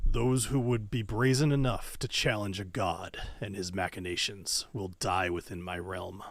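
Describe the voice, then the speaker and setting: In a loud, booming, put-on character voice, a man talks at a moderate pace with hardly any pauses and a fairly low pitch. The recording is very clean, with a silent background. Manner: menacing, threatening, grandiose.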